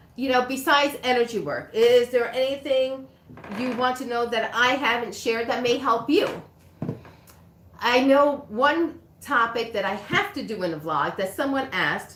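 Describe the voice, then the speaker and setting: A woman speaks at a moderate pace in a high pitch with lively intonation. Noticeable background noise and audible room echo surround her voice. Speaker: reiki practitioner. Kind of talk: livestream chat. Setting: livestream.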